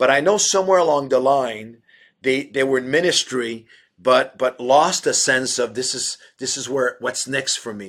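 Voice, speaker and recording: Speaking at a moderate pace, a man uses an ordinary speaking voice at medium pitch with ordinary pitch variation. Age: 60s. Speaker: pastor. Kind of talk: interview.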